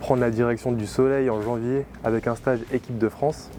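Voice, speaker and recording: A man talks at a medium pitch. The intonation stays monotone and flat. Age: 20s. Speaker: Olympic swimmer. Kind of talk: vlog narration. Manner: casual with frequent hesitations.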